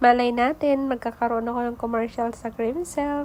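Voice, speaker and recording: Over noticeable background noise, a woman speaks at a moderate pace in a high pitch with monotone, flat intonation. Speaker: vlogger. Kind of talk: casual vlog voice-over narration.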